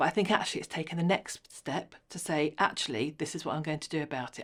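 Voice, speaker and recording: A woman's very deep, low voice at a fairly quick pace, in a very clean recording with a silent background. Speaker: HR consultant. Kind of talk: interview. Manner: fast.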